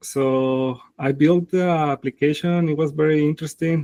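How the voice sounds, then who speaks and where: Fairly slowly and in a monotone, flat intonation, a man with a fairly high pitch and a dark, mellow tone speaks in a dry, close sound with no echo. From Mexico, Zacatecas. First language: Spanish. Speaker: tech founder. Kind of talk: interview. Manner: halting, many fillers.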